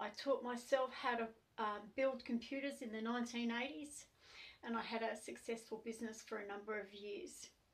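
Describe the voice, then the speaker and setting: Speaking at a moderate pace with an Australian accent, a woman uses a fairly high pitch and fairly even intonation. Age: 60s. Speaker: activist. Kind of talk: testimony. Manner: hesitant, many fillers.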